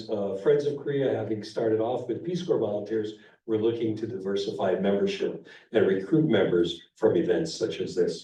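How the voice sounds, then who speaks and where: There is audible room echo around a man's somewhat breathy voice, dark and mellow in tone. He speaks at a moderate pace and medium pitch. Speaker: organization president giving annual meeting update. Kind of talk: meeting presentation. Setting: meeting room with audience.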